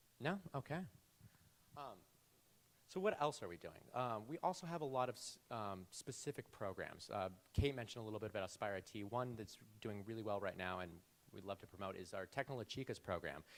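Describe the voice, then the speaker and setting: In an unremarkable speaking voice, a man talks at a fairly quick pace and a fairly low pitch with lively intonation. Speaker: nonprofit regional manager. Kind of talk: panel presentation.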